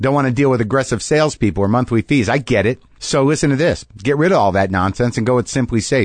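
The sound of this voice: The clip is delivered in an unforced reading voice.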